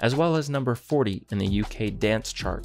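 The speaking is calm in tone and moderate in pace. Faint music plays in the background. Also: man. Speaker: Minecraft content creator. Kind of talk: Wikipedia article read aloud, bedtime reading. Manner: calm, even.

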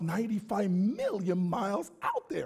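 In a quiet background, a man speaks with an animated tone at a high pitch. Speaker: preacher. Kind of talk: sermon. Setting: church. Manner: call-and-response. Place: church.

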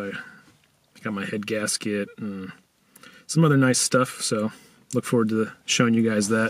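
A man talks at a fairly low pitch. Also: dry sound with no echo. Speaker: car vlogger. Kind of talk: casual vlog chat. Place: car. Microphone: phone near.

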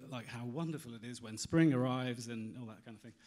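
A man speaks with a British accent against a quiet background. His pitch varies in an ordinary way. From UK. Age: 40s. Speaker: magazine editor; presenter. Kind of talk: conference talk. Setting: stage with audience. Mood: candid, reflective storytelling. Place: hall. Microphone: handheld.

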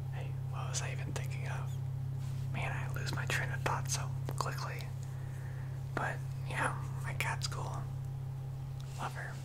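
Soft-spoken, fairly slow delivery with long, frequent pauses over loud background noise. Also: man. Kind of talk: casual monologue, role-play. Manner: soft drowsy ASMR inner-monologue voice. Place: home room. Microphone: studio mic.

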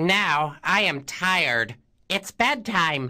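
In a cartoonish character voice with a bright, sharp tone and lively intonation, the speaker goes at a very slow pace over faint background music.

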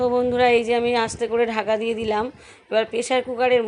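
A woman speaks with a fairly high pitch. Her intonation is flat and monotone. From West Bengal, South 24 Parganas. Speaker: vlogger. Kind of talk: vlog narration.

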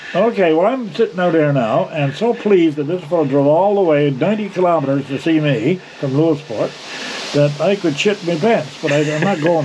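Fairly quick speech with ordinary pitch variation amid noticeable background noise. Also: man. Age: 80s+. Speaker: retired outdoor TV host and producer. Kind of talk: casual conversation, storytelling.

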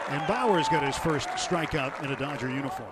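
The tone is animated. Background noise is noticeable. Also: man. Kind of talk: live sports commentary (baseball play-by-play). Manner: animated, fast play-by-play delivery.

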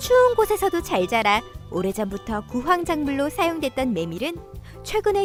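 An upbeat-toned woman at a moderate pace, with music in the background. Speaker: voice actor. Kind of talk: commercial-style narration.

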